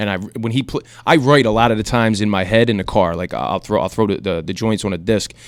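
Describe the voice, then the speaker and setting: A man's fairly low voice at a very fast pace, ordinary pitch variation, on a very clean recording with a silent background. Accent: slight South Philly. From South Philadelphia. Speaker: rapper. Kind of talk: radio interview. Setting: radio studio. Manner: halting.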